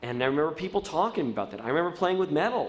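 Very fast and full of very wide pitch swings, the voice carries vocal fry and an American accent. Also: man. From US Mid-Atlantic, Baltimore; Maryland. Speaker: TV producer; guest. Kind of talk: lecture. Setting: stage with audience. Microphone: podium.

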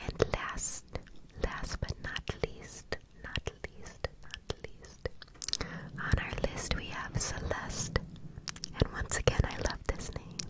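A woman whispers at a very slow pace. Her pauses are long and frequent. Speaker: ASMR creator. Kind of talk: soft ASMR name repetition. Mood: warm, affectionate. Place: home room. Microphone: studio mic.

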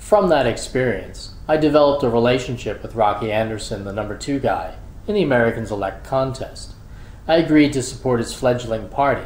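At a fairly quick pace, a man speaks at medium pitch with ordinary pitch variation and audible room echo. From US Northeast, Philadelphia. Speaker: college administrator. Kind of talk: scripted narration. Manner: formal.

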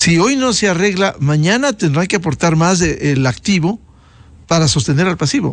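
The voice holds a very even loudness with lively intonation over a quiet background. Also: man, high pitch for a man, moderate pace, dry sound with no echo. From Ecuador. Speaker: news show host. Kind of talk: interview. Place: studio. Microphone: studio mic.

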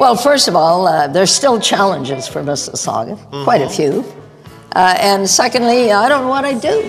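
Over music in the background, a woman with a Canadian accent speaks at a moderate pace and medium pitch, her voice making very wide pitch swings. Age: 80s+. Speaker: mayor. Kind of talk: interview answer.

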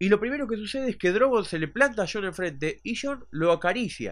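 With very wide swings in pitch, a man delivers his words at a moderate tempo in a quiet setting. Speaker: TV series reviewer. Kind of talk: casual talk to camera.

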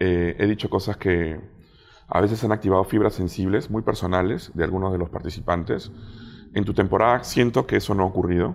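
The speaker talks at a fairly quick pace. Intonation stays fairly even. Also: man, very deep, low pitch for a man. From Peru. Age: 40s. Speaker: food critic and TV show judge. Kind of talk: casual interview chat.

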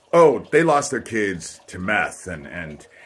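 Pitch swings very widely while the delivery stays at a fairly slow pace. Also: man. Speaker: vlogger telling personal grievances. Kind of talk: casual vlog monologue. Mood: aggrieved, accusatory. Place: home room. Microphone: phone near.

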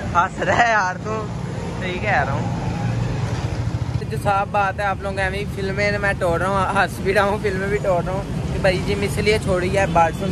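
A man speaks at a moderate pace. The sound is dry with no echo, over loud background noise. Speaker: vlogger. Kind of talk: casual vlog chat. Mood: playful, joking. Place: street. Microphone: phone near.

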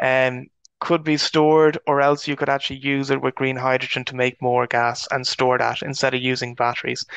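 A man with an Irish accent talks at a fairly quick pace in a medium pitch with monotone, flat intonation. The sound is dry and close with no echo, over a quiet background. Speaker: agricultural researcher. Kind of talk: webinar presentation.

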